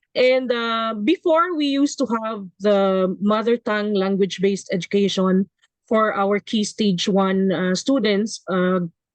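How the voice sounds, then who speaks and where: Dry, close sound with no echo, a woman in a Visayan Filipino accent, medium pitch, ordinary pitch variation, fairly slow pace. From Visayas region, Philippines. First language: Kinaray-a. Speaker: education professor. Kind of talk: webinar panel discussion. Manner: halting, many fillers.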